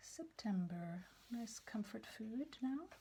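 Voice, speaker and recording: Soft-spoken and somewhat breathy, a woman speaks at a very slow pace. Her dark, mellow tone carries lively intonation. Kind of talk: ASMR page-turning show and tell.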